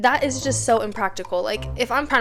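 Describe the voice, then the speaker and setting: A woman talks fairly quickly. Behind her, music is playing. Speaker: YouTuber. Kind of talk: casual explanatory talk to camera.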